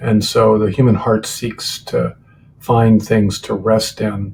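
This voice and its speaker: Speaking fairly slowly in an American accent, a man has a medium pitch and a somewhat breathy sound. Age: 60s. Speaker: author and former professor. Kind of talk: interview. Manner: hesitant, many fillers.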